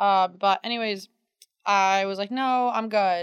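With an American accent and a normal speaking voice, a woman talks at a medium pitch with fairly even intonation, in a very clean recording with a silent background and a dry, close sound with no echo. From central New York. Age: 20s. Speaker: podcast co-host. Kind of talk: casual chat. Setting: recording at home.

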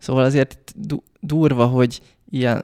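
In a dry, close recording with no echo, a man talks in a plain, everyday voice at a medium pitch with ordinary pitch variation. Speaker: podcast host. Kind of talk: casual chat.

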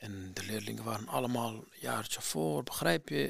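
A man with a Kurdistan accent talks at a fairly quick pace with lively intonation. Vocal fry runs through his voice. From Iraqi Kurdistan, near Mosul. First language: Kurdish (speaking Dutch). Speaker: former refugee student. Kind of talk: personal testimony. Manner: halting, many hesitations.

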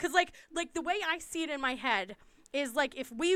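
A woman with an American accent projects a raised voice in a bright, sharp tone at a fairly slow pace. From US East Coast. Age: 40s. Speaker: podcast co-host. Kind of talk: casual chat.

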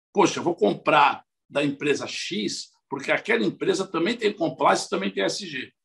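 Vocal fry runs through a man's speech as his pitch swings very widely. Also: fairly high pitch for a man, moderate pace. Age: 50s. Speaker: biology professor and former city environment secretary. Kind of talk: interview. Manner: halting with frequent repetitions.

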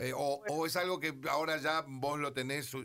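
At a moderate pace, a man speaks with a fairly high pitch, ordinary pitch variation and a bright, sharp tone. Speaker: radio host. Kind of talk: radio interview.

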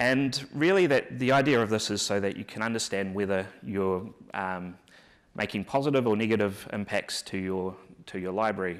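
Speaking in a New Zealand accent, a man uses a fairly low pitch and ordinary pitch variation at a moderate pace. The recording is very clean, with a silent background. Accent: New Zealand, noticeable. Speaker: software engineer and conference speaker. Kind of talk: conference tech talk. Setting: conference stage with audience. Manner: halting, many filler words and repeats.

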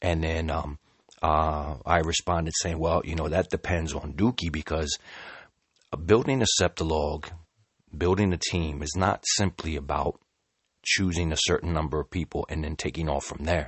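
Speaking at a moderate pace, a man uses a very deep, low voice with fairly even intonation. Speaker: crypto community podcaster. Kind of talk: solo monologue podcast. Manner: hesitant with many fillers.

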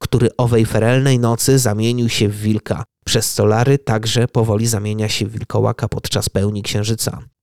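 A man's dramatic tone, monotone and flat in intonation, with hardly any pauses and a dry, close sound with no echo. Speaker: podcast host. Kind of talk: scripted horror narration. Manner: hushed, suspenseful storytelling; measured, ominous, dramatic pacing.

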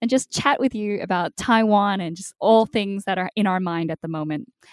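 This woman has a medium pitch and ordinary pitch variation, speaking with an Australian accent in a dry, close sound with no echo. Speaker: podcast host. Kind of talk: interview. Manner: animated.

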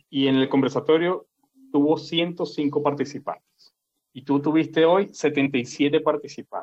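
The man's voice is fairly high and delivered in a flat monotone. He speaks at a very slow pace. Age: 50s. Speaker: podcast host. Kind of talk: casual chat.

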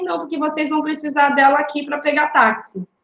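Audible room echo surrounds a woman speaking at a moderate pace in a high pitch. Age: 30s. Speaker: city council candidate. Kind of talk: interview.

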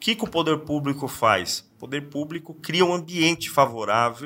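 A man's bright, sharp voice, fairly high in pitch, at a moderate pace. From São Paulo state (São Paulo city, then Sorocaba). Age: 40s. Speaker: politician. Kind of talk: interview. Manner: hesitant, repeats words.

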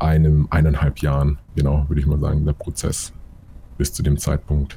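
A somewhat breathy man with a very deep, low pitch at a fairly quick pace. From Munich, Bavaria. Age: 20s. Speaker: photographer and videographer. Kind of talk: interview.

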